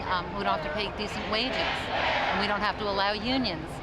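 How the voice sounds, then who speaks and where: A fairly quick pace over crowd noise in the background. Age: 60s. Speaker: protest participant. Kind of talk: interview.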